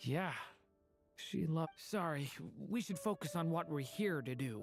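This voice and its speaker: A put-on character voice sits at a middle pitch and moves at a moderate pace. Faint music plays in the background. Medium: video game.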